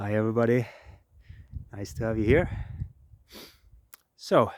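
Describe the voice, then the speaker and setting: A man with a southern Swedish accent speaks at a moderate pace, his medium pitch showing ordinary variation. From southern Sweden. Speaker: permaculture designer. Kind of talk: casual talk to camera. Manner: halting.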